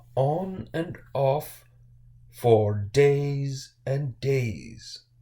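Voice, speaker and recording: This man uses a put-on character voice. His pitch sits in the medium range. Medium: read story. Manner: flat, indifferent.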